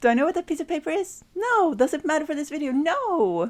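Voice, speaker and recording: Very wide pitch swings mark this speech with a non-native accent. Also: woman. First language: not English. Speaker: sewing youtuber. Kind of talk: tutorial; voice-over narration. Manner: casual.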